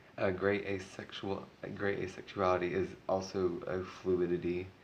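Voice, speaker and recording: The man's pitch is very deep and low. His voice carries an audible room echo. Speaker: vlogger. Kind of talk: casual vlog talk. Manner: halting, many ums.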